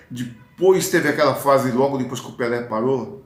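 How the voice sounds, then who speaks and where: The voice belongs to a man with ordinary pitch variation. Audible room echo surrounds it. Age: 60s. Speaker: football fan commentator, vlogger. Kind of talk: casual monologue, football commentary. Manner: hesitant, with fillers and restarts.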